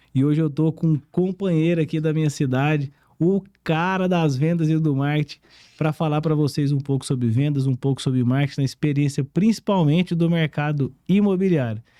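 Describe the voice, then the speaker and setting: With a strong Goiás accent, a man speaks in a dark, mellow tone at a moderate pace. His pitch varies in an ordinary way and his loudness stays very even. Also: fairly high pitch for a man, dry, close sound with no echo. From Brazil, Goiás. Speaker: podcast host. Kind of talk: casual interview chat. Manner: animated.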